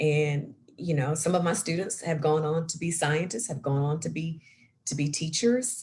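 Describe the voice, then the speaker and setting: A woman speaks with a very deep, low voice. Her tone is somewhat breathy. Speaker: science center program director, former chemistry teacher. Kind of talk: career talk interview. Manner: animated.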